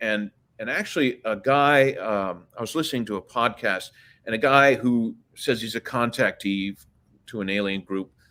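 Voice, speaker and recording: Speaking fairly slowly with an American accent, a man shows ordinary pitch variation and big swings in loudness on a very clean recording with a silent background. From Washington DC. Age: 60s. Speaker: guest on a disclosure and UFO podcast. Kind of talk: casual interview chat. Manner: halting, many fillers and restarts.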